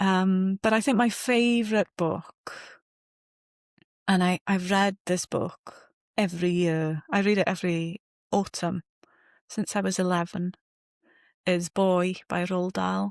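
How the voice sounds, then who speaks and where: A woman with a Welsh accent and medium pitch speaks at a fairly slow pace, with long, frequent pauses, fairly even intonation and very even loudness. The recording is very clean, with a silent background, and the sound is dry and close with no echo. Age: 40s. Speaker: novelist. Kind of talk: interview.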